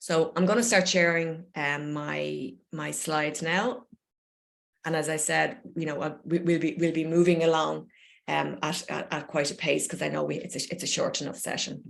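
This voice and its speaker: Speaking in an Irish accent, a woman keeps a moderate pace. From Ireland. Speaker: poet and creative coach. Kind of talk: online talk and Q&A. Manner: warm, encouraging.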